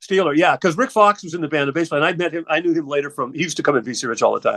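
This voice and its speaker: A man with an American accent talks at a very fast pace, his pitch fairly high and his tone bright and sharp. The sound is dry and close, with no echo. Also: ordinary pitch variation. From US West Coast, Southern California. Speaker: rock musician. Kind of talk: casual chat.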